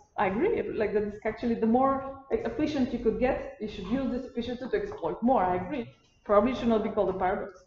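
A woman's fairly high voice at a very fast pace with ordinary pitch variation, amid audible room echo and light background noise. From Bulgaria. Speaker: postdoctoral researcher; lecturer. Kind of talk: lecture. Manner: halting. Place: classroom. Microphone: camera far.

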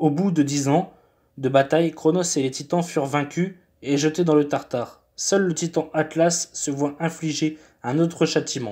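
At a fairly slow pace, this voice carries a dark, mellow tone. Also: man, fairly high pitch for a man, fairly even intonation, very clean recording, silent background. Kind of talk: myth narration. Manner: formal; steady storytelling pace.

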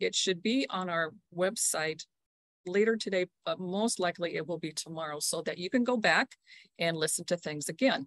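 At a moderate pace, a woman talks in a plain, everyday voice, fairly low in pitch with ordinary pitch variation, the sound dry with no echo and the background quiet. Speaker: program director hosting meeting. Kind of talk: meeting welcome talk. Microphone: video call.

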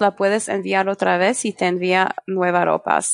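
With a French accent, the voice has a dry, close sound with no echo. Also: woman. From France. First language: French (speaking Spanish). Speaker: e-commerce marketing specialist. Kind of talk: interview. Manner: halting.

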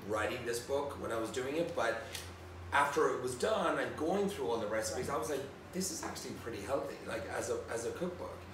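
A man with a fairly high-pitched voice speaks with lively intonation. There is audible room echo and noticeable background noise. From Ireland, County Tipperary. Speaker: celebrity chef. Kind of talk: casual chat. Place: home room.

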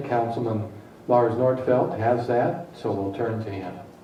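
A man with an American accent speaks at a moderate pace and medium pitch, with ordinary pitch variation, audible room echo and noticeable background noise. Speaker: mayor chairing city council. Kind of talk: council meeting chairing. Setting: council chamber.

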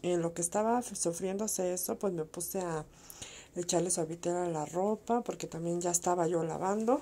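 A woman's dark, mellow tone at a fairly slow pace, with ordinary pitch variation. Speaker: home vlogger. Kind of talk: casual recipe narration.

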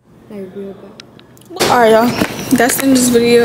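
Noticeable background noise sits behind a woman who speaks at a moderate pace. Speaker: student vlogger. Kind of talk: casual vlog chat.

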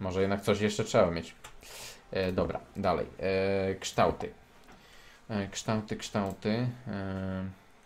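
A man talks at a very slow pace in a fairly low pitch with monotone, flat intonation. His speech has long, frequent pauses. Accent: Polish. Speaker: gaming youtuber. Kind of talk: casual gameplay commentary.

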